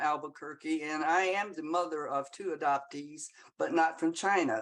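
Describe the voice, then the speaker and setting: Speaking in a Southern US accent, a woman uses lively intonation at a fairly low pitch. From US South. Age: 80s+. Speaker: audience member. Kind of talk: audience comment in Q&A. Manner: halting.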